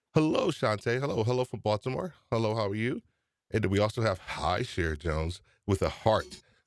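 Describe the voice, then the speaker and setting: On a very clean recording with a silent background, a man with a New York accent talks fairly quickly at a medium pitch, his tone animated and his intonation lively. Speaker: podcast host. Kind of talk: live stream chat.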